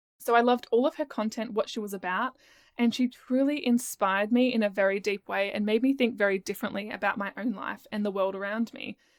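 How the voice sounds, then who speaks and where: In a very clean recording with a silent background and a dry, close sound with no echo, someone with an Australian accent talks very fast in an animated tone with ordinary pitch variation. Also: woman, fairly high pitch for a woman. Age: 20s. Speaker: podcast host and business coach. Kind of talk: casual solo podcast monologue. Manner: chatty, animated.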